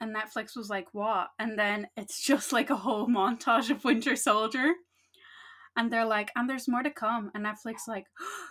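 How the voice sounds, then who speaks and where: A woman's fairly high voice with a bright, sharp tone, ordinary pitch variation and a moderate pace. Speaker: podcast co-host. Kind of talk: casual chat. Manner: loud.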